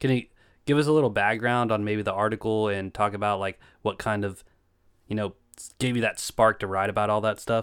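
A man with an Appalachian accent speaks at a fairly quick pace in a fairly low pitch, his intonation fairly even, on a very clean recording with a silent background. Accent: Appalachian US Southern. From Eastern Kentucky. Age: 20s. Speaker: podcast host. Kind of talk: casual chat.

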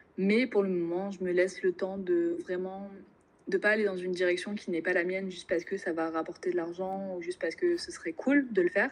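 A woman's medium-pitched voice, an unremarkable speaking voice, with fairly even intonation and a fairly quick pace. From Normandy, France. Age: 20s. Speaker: business school student. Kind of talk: casual interview.

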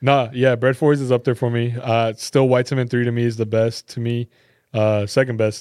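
Fairly quick speech in an American accent, monotone and flat, with a dry, close sound with no echo and a quiet background. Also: man, medium pitch for a man. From Texas, Garland (Dallas area). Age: 20s. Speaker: sneaker store employee and reseller. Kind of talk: casual chat.

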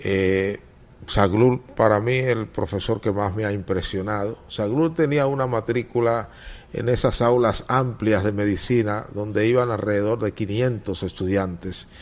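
A man in an eastern Dominican accent, fairly low in pitch, with fairly even intonation at a fairly slow pace. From eastern Dominican Republic (Higüey, La Romana). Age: 60s. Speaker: veteran journalist and newspaper editor. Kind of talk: interview.

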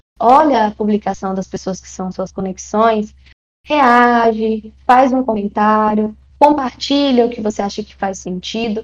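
This woman has an ordinary speaking voice, with a fairly high pitch, ordinary pitch variation and a fairly slow pace. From Brazil, Maranhão. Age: 20s. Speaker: tech recruiter, psychologist. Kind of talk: interview.

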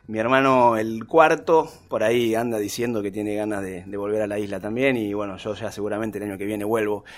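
A man speaks with a Rioplatense accent and fairly even intonation. He leaves hardly any pauses. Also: fairly low pitch for a man, fairly quick pace. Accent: Argentine Spanish (rioplatense). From Argentina, Tierra del Fuego (Río Grande). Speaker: documentary filmmaker. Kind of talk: interview conversation. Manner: hesitant, many fillers.

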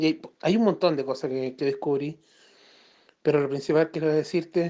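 A man with a Chilean accent and fairly even intonation. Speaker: spiritual guidance client. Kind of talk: voice message testimony. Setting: phone voice message. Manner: halting. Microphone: cutting out phone line.

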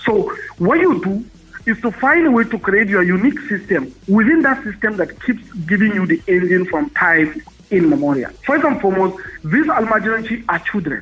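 Over noticeable background noise, a high-pitched man speaks at a moderate pace with very wide pitch swings. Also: very even loudness. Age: 30s. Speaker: businessman and former presidential aspirant. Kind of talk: interview. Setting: phone call.

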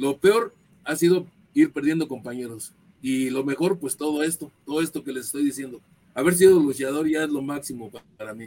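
Over music in the background, a man with a fairly high pitch talks at a fairly quick pace, his loudness swinging widely. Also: ordinary pitch variation. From northern Mexico, Ciudad Juárez, Chihuahua. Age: 70s. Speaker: retired pro wrestler. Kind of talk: interview.

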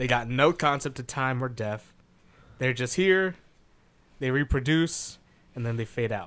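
A man speaks at a moderate pace, his pitch fairly high with ordinary variation. The tone is bright and sharp, and the recording is very clean over a silent background. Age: 20s. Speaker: podcast co-host. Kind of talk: casual chat.

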